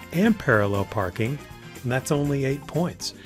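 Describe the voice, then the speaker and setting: Music plays in the background as a man speaks at a medium pitch. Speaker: driving test prep instructor. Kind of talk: instructional tutorial to camera.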